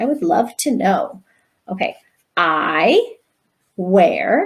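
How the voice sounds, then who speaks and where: A woman speaks in an animated tone. She leaves long, frequent pauses. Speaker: primary school teacher. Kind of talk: tutorial.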